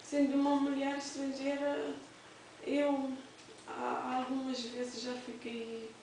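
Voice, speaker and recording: A woman speaks at a very slow pace with ordinary pitch variation. Audible room echo and noticeable background noise are present. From Cape Verde. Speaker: domestic worker. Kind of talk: testimony. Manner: halting, with repetitions and fillers.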